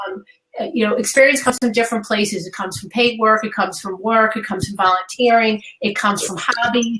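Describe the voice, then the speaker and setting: The speaker is a woman. She has a New York accent. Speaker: career coach. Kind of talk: webinar interview. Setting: live webinar.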